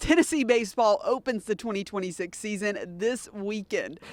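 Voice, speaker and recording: A plain, everyday voice, moderately paced, its intonation lively. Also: woman, fairly high pitch for a woman. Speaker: sports reporter. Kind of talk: TV news live shot. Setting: outdoors.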